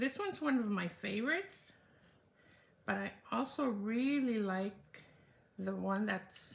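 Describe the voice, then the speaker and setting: A woman speaks at a fairly slow pace in a fairly high, somewhat breathy voice with ordinary pitch variation, leaving long, frequent pauses. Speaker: card-making demonstrator. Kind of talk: live craft tutorial.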